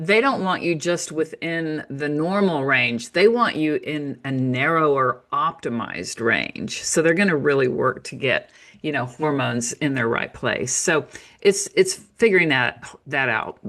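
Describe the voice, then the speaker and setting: A woman with an American accent speaks in a very deep, low voice. Her intonation is lively and her pace fairly slow. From United States. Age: 60s. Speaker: naturopath and author. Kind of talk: interview.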